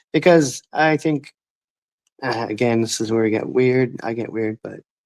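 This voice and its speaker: A man mumbles at a moderate pace in a dry, close sound with no echo. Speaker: ex-scientology YouTuber. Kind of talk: casual chat. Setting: livestream video call. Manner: mumbling.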